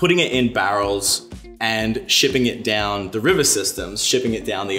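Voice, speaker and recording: A man talks at a fairly quick pace in a fairly low voice. His pitch varies in an ordinary way, with faint music playing behind him. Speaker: guest. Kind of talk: interview answer. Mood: relaxed, friendly, smiling. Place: bar.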